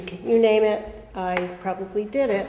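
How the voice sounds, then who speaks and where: Through noticeable background noise and audible room echo, a woman speaks at medium pitch with fairly even intonation. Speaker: parole board commissioner. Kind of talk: formal self-introduction at a public meeting. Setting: public board meeting.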